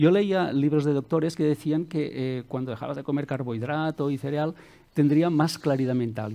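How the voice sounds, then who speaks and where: A man speaks with a dark, mellow tone. His pace is moderate and his pitch variation ordinary. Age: 50s. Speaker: self-help author and coach; coach. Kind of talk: interview. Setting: studio with audience. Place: studio. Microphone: headset.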